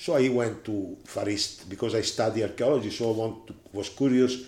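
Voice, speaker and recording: Speaking with an Italian accent, a man talks at a moderate pace and a fairly low pitch. His tone is dark and mellow, and his intonation is fairly even. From Italy. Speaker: management consultant and seminar lecturer. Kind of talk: interview. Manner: halting.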